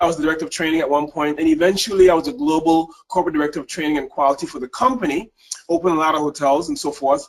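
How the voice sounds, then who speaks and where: A man with a Caribbean accent speaks at a very fast pace in a fairly high pitch, with ordinary pitch variation. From US Virgin Islands (St. Thomas), Caribbean. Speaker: leadership and service excellence speaker. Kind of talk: webinar presentation. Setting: webinar, remote.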